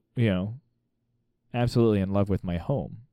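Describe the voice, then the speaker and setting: This man has a dark, mellow tone and ordinary pitch variation. The sound is dry and close with no echo. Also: very clean recording, silent background. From Missouri, US Midwest. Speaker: state politician. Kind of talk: interview.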